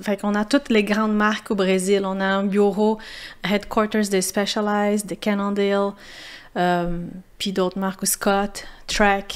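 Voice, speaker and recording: In a Portuguese accent, a woman speaks at a fairly slow pace and medium pitch, monotone and flat, with long, frequent pauses. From Brazil, São Paulo. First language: Portuguese (speaking French). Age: 30s. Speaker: former pro mountain biker. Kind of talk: podcast interview. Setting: café. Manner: halting, many repetitions.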